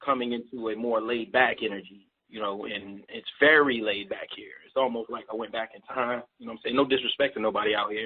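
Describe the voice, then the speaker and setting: A man talks at a fairly quick pace with a medium pitch. His intonation stays fairly even. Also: big swings in loudness. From Baltimore, Maryland, US. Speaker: rapper and label owner. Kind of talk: radio interview. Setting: live radio broadcast. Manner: fast.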